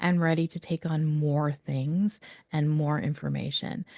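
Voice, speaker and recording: A woman's fairly low voice with a dark, mellow tone and fairly even intonation, the sound dry and close with no echo. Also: quiet background. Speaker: educational expert presenter. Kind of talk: webinar presentation. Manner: fast.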